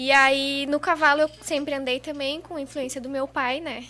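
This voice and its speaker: This woman uses a raised, projected voice at a high pitch. Her intonation stays monotone and flat. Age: 20s. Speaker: rodeo lasso competitor. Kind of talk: podcast interview. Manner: casual, conversational.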